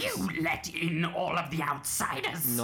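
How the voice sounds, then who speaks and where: Clear background noise sits behind a put-on character voice at middle pitch, delivered at a fairly slow pace. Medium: actual play. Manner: suspicious, sharp.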